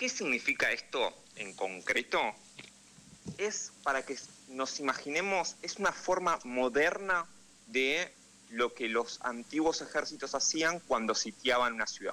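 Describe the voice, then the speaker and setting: With a fairly high pitch, a man talks at a fairly slow pace, leaving long, frequent pauses. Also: lively intonation. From Argentina, Buenos Aires. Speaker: political analyst and correspondent. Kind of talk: radio interview.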